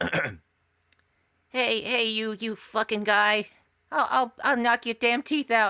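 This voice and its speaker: Using a put-on character voice, a female-sounding speaker talks very slowly at a fairly high pitch. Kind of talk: rough street-tough. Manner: aggressive, threatening.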